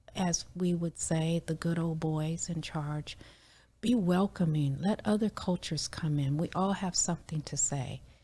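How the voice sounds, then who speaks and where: A dark, mellow, somewhat breathy voice moves at a fairly slow pace on a very clean recording with a silent background. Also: woman, fairly low pitch for a woman. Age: 60s. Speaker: community member sharing oral history. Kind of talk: interview.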